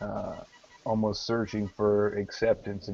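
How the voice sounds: Reading delivered in a natural voice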